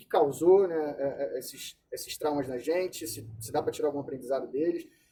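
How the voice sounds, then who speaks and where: The man has a fairly high pitch and a dark, mellow tone, and his intonation is lively. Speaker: psychologist. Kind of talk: lecture. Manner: fast.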